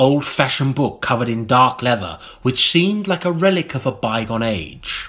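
With lively intonation, an ordinary speaking voice proceeds at a moderate pace. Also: man. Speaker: audiobook narrator. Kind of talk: comic audiobook reading, dry spoof gothic narration with character voices. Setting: recording studio. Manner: mock-solemn, storyteller's cadence.

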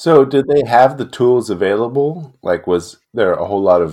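Lively intonation runs through this man's delivery. He has an ordinary speaking voice. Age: 40s. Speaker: podcast co-host, product engineering director. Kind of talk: casual chat.

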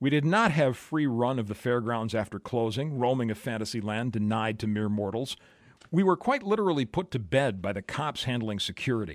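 At a fairly quick pace, a man with an Upper Midwest accent speaks at a medium pitch with lively intonation in a very clean recording with a silent background. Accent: Upper Midwest American. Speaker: podcaster and music blogger. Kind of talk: scripted narration.

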